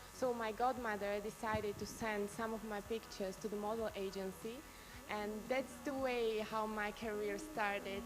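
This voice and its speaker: Moderate-paced, monotone speech with flat intonation and music in the background. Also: woman. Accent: Slovak. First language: Slovak. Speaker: beauty pageant contestant. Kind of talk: live Q&A answer.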